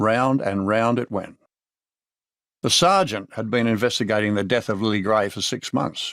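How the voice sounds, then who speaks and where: In a very clean recording with a silent background, a man with an Australian accent speaks in a fairly low voice. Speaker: audiobook narrator. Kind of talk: audiobook narration of a crime novel. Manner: dry, laconic, wry.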